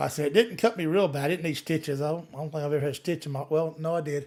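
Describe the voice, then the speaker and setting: Intonation remains fairly even. The voice is in a Southern US accent. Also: man. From US South, Gulf Coast Alabama. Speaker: livestreamer, law enforcement officer. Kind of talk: live Q&A chat. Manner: usually soft-spoken, can get loud; plain, casual, halting.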